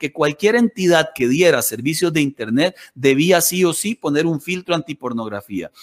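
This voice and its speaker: A man has an unremarkable speaking voice with lively intonation at a moderate pace. The sound is dry and close with no echo. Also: very clean recording, silent background. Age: 40s. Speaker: pastor. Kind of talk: radio interview.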